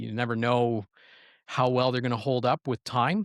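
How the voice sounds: A man with a medium pitch and a fairly bright tone comes through a very clean recording with a silent background and a dry, close sound with no echo.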